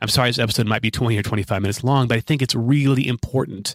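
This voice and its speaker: The speech comes at a very fast pace with fairly even intonation. The sound is dry and close, with no echo. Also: man. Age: 40s. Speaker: podcast host, life coach. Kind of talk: solo monologue.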